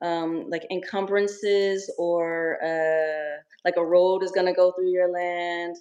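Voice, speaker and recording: In an American accent, a woman with a fairly low pitch speaks at a very slow pace in a monotone, flat intonation. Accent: American twang. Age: 40s. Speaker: Airbnb investor relocating to Africa. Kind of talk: casual interview. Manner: halting.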